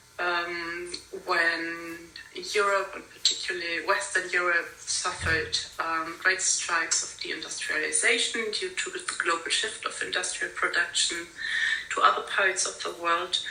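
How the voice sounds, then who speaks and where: A woman talks at a fairly slow pace. Room echo can be heard, along with noticeable background noise. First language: not English. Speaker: conference speaker on industrial heritage. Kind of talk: conference talk. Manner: halting, many fillers.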